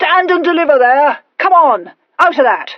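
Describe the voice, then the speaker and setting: In a gruff, put-on character voice, someone shouts at a moderate pace with lively intonation. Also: woman. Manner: shouting, commanding.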